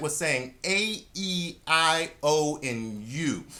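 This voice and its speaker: The voice is animated, its tone bright and sharp. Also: man. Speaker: saxophone teacher. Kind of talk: tutorial.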